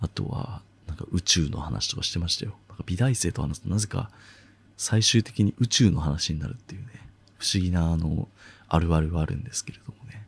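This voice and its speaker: The voice moves at a fairly quick pace with lively intonation. It is somewhat breathy and swings widely in loudness. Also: man, very deep, low pitch for a man. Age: 20s. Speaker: podcast host. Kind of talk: solo voice essay, casual monologue.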